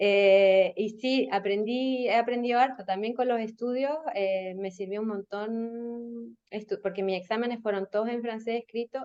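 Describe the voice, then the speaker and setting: A woman's fairly high voice in a Chilean accent, at a fairly slow pace with hardly any pauses. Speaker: marketing and communications professional. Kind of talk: podcast interview.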